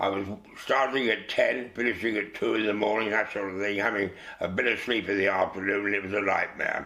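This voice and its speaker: Someone in a London accent talks at a fairly quick pace with monotone, flat intonation. Noticeable background noise runs underneath. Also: man, fairly low pitch for a man. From England, East London. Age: 80s+. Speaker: actor. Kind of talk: interview. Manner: halting.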